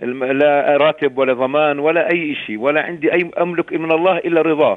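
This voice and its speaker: A man speaks at a fairly slow pace in a fairly high pitch, with fairly even intonation and noticeable background noise. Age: 60s. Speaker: caller. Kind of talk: phone call request. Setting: phone call.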